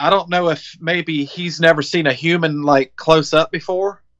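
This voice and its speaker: A man speaks with a Southern US accent at a moderate pace. His high voice has a bright, sharp tone and a monotone, flat intonation. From Biloxi, Mississippi, USA. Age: 40s. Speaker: Iraq war veteran, business owner, deer hunter. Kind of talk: interview answer.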